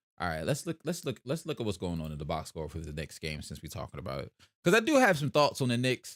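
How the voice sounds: Talking at a very fast pace with a South Jersey accent, a man uses a fairly low voice with very wide pitch swings and big swings in loudness, in a very clean recording with a silent background and a dry, close sound with no echo. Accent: South Jersey, country-sounding.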